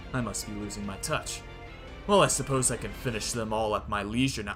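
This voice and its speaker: A man's put-on character voice, menacing in tone and medium in pitch, at a fairly quick pace over loud music in the background. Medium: read story. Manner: menacing, arrogant.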